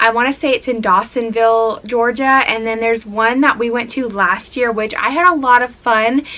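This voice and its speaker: Speaking at a moderate pace with hardly any pauses, a woman has a fairly high pitch and a bright, sharp tone. Her intonation stays fairly even. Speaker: lifestyle vlogger. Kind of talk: casual vlog talk to camera.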